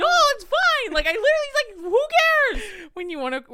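A put-on character voice, squeaky and strained, moves at a moderate pace. Its pitch swings very widely. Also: woman, extremely high pitch for a woman. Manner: feigned indifference, hurt.

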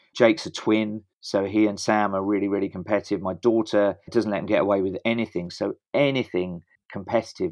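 A man with a British accent speaks at a moderate pace and fairly low pitch, with ordinary pitch variation, against a quiet background. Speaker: running coach and stadium announcer. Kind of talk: interview.

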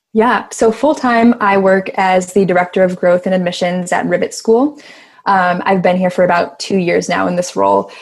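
In a very clean recording with a silent background, a woman with an American accent and a plain, everyday voice speaks at a moderate pace, medium in pitch, with ordinary pitch variation and very even loudness. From Chicago, US Midwest. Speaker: activist. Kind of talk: casual chat.

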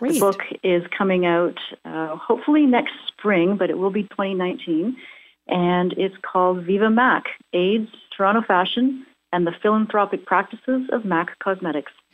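A woman talks at a moderate pace with a medium pitch. She has a normal speaking voice. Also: ordinary pitch variation. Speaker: academic. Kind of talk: interview. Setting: phone call.

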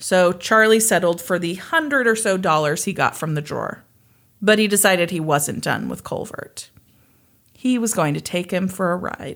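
In an American accent, a woman talks at a moderate pace with medium pitch, ordinary pitch variation and an unremarkable speaking voice. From US Midwest, Kansas. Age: 30s. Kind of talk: casual storytelling chat.

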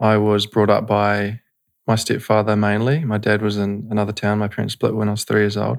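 In a very clean recording with a silent background, a man with a New Zealand accent speaks at a fairly low pitch in a monotone, flat delivery. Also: fairly quick pace. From New Zealand, North Canterbury. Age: 20s. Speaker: breathwork and meditation facilitator. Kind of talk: casual interview. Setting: studio.

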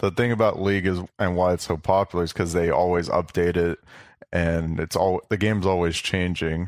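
In a very clean recording with a silent background, a man speaks at a moderate pace in a very deep, low pitch, with monotone, flat intonation and very even loudness. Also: dry, close sound with no echo. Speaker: retired pro esports player. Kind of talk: casual chat. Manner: relaxed, unemotional.

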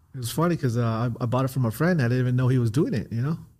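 Somewhat breathy and dark, mellow in tone, a man with an American accent speaks at a medium pitch with ordinary pitch variation. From Southern California. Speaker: former drug dealer, now realtor. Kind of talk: interview. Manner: laid-back, frequent you know.

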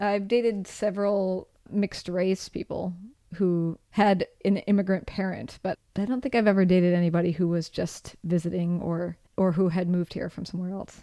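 An ordinary speaking voice with an American accent, moderate pace and fairly even intonation. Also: woman, medium pitch for a woman. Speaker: podcast host and former public radio producer. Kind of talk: casual chat.

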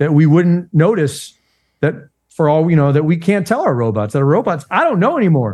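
Over a quiet background, a man with an ordinary speaking voice uses a fairly high pitch and lively intonation. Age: 60s. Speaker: investigative journalist. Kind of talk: conspiracy podcast interview. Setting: remote call.

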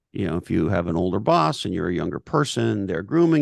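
A man with vocal fry and very wide pitch swings over a quiet background. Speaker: business author and thinker. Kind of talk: interview conversation.

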